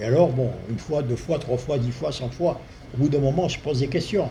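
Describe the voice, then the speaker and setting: Noticeable background noise runs through this clip of a man talking. His voice carries an audible room echo. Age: 70s. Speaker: spiritual healer. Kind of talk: talk to an audience. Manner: hesitant, with fillers. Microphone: too quiet for the back, needs to be closer.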